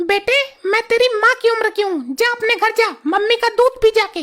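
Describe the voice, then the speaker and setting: A woman does a cartoonish character voice at an extremely high pitch, with ordinary pitch variation and a fairly quick pace. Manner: sharp, scolding.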